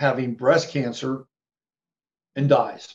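The man's voice sits at a fairly high pitch. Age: 60s. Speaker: psychic astrologer. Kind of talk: interview. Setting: video call.

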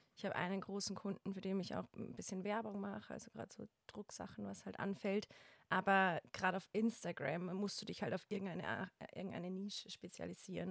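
A woman with vocal fry speaks at a fairly quick pace, her pitch varying in an ordinary way. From Bavaria, Germany. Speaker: wedding photographer. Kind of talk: casual chat.

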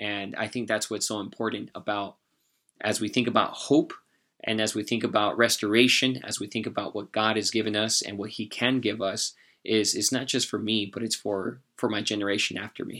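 A man with an American accent talks at a fairly quick pace in a fairly low, bright and sharp voice, flat and monotone, on a very clean recording with a silent background. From US West, San Jose, California. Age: 30s. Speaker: guest sharing faith testimony. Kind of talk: testimony; motivational charge.

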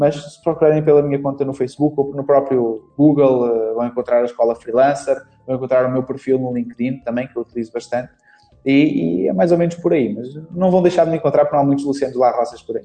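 With music in the background, a man with a European Portuguese accent speaks fairly quickly at a fairly high pitch. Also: ordinary pitch variation. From Portugal. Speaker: Facebook marketing instructor. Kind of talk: interview.

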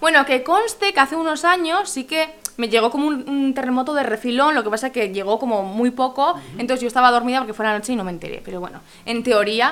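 A woman with high pitch, lively intonation and a very fast pace. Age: 20s. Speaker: podcast host. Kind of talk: casual interview.

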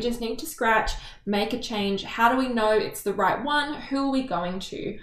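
A woman with an Australian accent and a fairly high pitch speaks at a moderate pace with lively intonation, amid noticeable background noise and audible room echo. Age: 20s. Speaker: podcast co-host. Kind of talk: casual chat.

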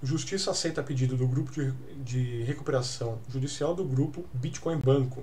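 A man with a Brazilian accent talks at a moderate pace in a fairly high, somewhat breathy voice with ordinary pitch variation, and room echo is audible. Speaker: crypto news podcast host. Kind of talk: casual news commentary; reading news articles aloud. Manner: halting, many filler hesitations.

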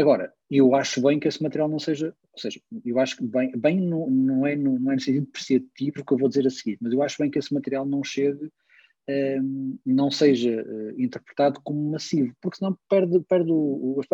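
The man's dark, mellow voice sits at a fairly high pitch and moves at a moderate pace with fairly even intonation, in a dry, close sound with no echo. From Porto, northern Portugal. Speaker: technology business manager, music fan. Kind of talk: casual interview.

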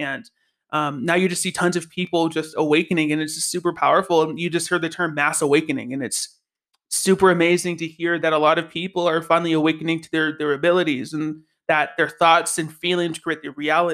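In a very clean recording with a silent background, the voice has an animated tone and a very fast pace. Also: man, fairly high pitch for a man. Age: 20s. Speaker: podcast host. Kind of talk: casual monologue.

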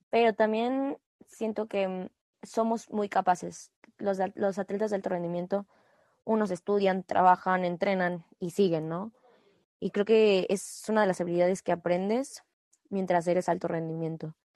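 This woman speaks at a medium pitch and a fairly slow pace, in a dark, mellow tone with fairly even intonation. The sound is dry and close with no echo, and the background is quiet. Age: 20s. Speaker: national team gymnast. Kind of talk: interview.

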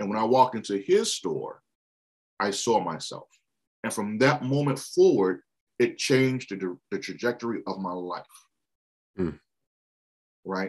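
A man with an American accent talks at a fairly slow pace, his pitch in the medium range with ordinary variation. Long, frequent pauses break up his speech. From Washington, D.C. area. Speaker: bookstore co-owner. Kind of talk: casual interview.

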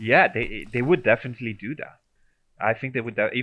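This is a man speaking. He has an Italian accent. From Italy. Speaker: transport researcher. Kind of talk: interview. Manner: halting, many repetitions and fillers.

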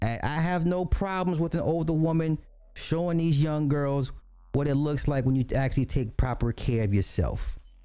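Music in the background behind a man's fairly high voice. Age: 40s. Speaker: live-stream commentary host. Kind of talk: casual reaction commentary. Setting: live online stream. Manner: animated, repetitive.

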